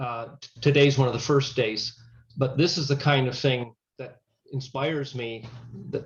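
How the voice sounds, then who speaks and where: At a fairly slow pace, a man talks in a medium pitch with a somewhat breathy sound. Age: 60s. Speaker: chaplain and grief counselor. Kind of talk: webinar Q&A discussion.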